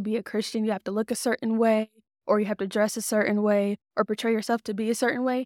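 An American accent, very cleanly recorded against a silent background, dry and close with no echo. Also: woman. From Texas, Dallas area. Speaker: podcast co-host. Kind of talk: casual chat.

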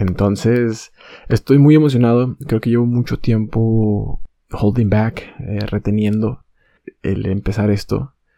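Soft-spoken and very slow, a man with a medium pitch and a dark, mellow tone talks with fairly even intonation in a dry, close sound with no echo. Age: 20s. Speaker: podcaster. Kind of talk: casual monologue. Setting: bedroom at night. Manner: halting.

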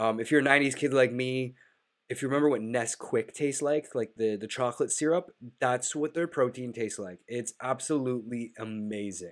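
At a moderate pace, a man talks in a nasal voice with medium pitch and ordinary pitch variation.

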